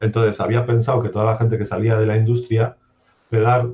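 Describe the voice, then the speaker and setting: Somewhat breathy and at medium pitch, a man speaks at a fairly quick pace with fairly even intonation. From Basque Country, Spain (Durango, Biscay). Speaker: software developer. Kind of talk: interview.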